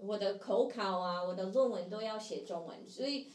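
With an English accent and lively intonation, a woman talks at a very slow pace amid audible room echo. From US, Seattle. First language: English (speaking Chinese). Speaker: playback theatre actor. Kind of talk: casual interview. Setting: live stream.

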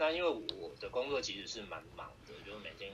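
Audible room echo surrounds this man's voice. He speaks at a fairly quick pace. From Taiwan, Taipei (Beitou). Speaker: direct sales member, former company executive. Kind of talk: online interview. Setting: online livestream seminar.

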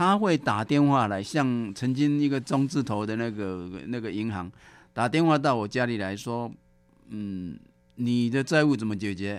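A man with a medium-pitched voice talks at a very slow pace using lively intonation, captured in a very clean recording against a silent background. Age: 70s. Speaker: former debtor, volunteer, ex-taxi driver. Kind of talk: testimony.

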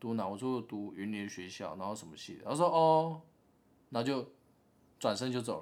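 A man's medium-pitched voice at a moderate pace, with big swings in loudness and long, frequent pauses. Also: lively intonation. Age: 20s. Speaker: podcast co-host. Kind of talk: casual chat.

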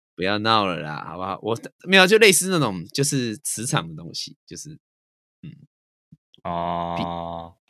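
A man speaks fairly slowly with long, frequent pauses, lively intonation and big swings in loudness. His tone is bright and sharp in a very clean recording with a silent background. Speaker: podcast co-host. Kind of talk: casual chat.

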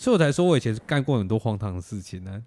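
A man speaks very fast with lively intonation. The recording is very clean, the background silent. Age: 20s. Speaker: podcast host. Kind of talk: casual chat.

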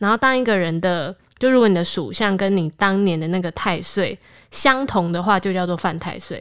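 In a very clean recording with a silent background, a woman with a Taiwanese accent speaks at a moderate pace with ordinary pitch variation. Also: medium pitch for a woman. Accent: Taiwanese Mandarin. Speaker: podcast host. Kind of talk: casual chat.

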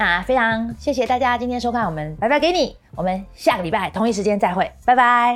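A woman speaks at a fairly high pitch with lively intonation. Her fairly quick delivery has hardly any pauses. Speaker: YouTube host and tech company employee. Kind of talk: solo talk-show commentary.

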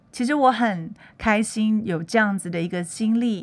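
A woman takes a fairly slow pace, and music is heard in the background. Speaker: podcast host. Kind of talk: casual monologue.

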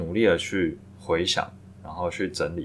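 Somewhat breathy, a man's very deep, low-pitched voice keeps a fairly even intonation. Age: 30s. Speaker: podcast host, full-time trader. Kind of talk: solo reflective monologue. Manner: halting, with filler words.

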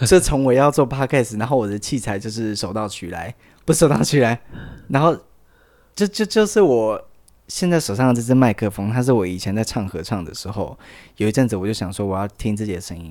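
The recording is very clean, with a silent background. A man talks at a fairly quick pace and a fairly low pitch, his intonation lively. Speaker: podcast host. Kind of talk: casual chat. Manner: halting, repeats words.

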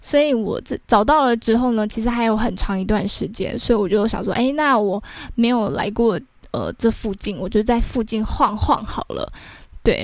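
With a Taiwanese accent, a woman speaks at a moderate pace in a fairly high pitch with ordinary pitch variation. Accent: Taiwanese Mandarin. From Taiwan, Taichung. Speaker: podcast host. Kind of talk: casual storytelling monologue.

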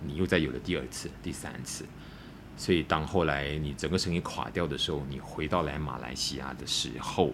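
Amid audible room echo, a man's very deep, low voice carries vocal fry and fairly even intonation. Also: moderate pace. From Malaysia, Malacca. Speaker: former drug user planning a rehab centre. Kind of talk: personal testimony in interview. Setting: in person, face to face. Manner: halting with repeated words.

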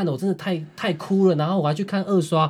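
In a very clean recording with a silent background, a man speaks at a very fast pace in a somewhat breathy voice. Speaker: podcast co-host. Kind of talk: casual chat.

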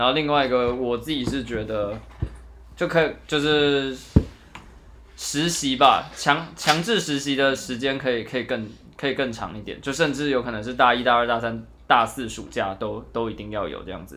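In a room with audible echo, a man talks at a moderate pace and medium pitch. His pitch varies in an ordinary way, while his loudness swings a lot. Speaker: student podcast host. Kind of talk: casual chat.

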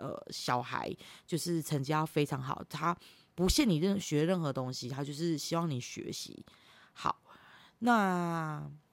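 With a very clean recording and a silent background, a woman speaks at a very deep, low pitch and a fairly slow pace, her pitch varying in an ordinary way. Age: 30s. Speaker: podcast host. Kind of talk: solo monologue podcast. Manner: loud laughter; halting, many fillers.

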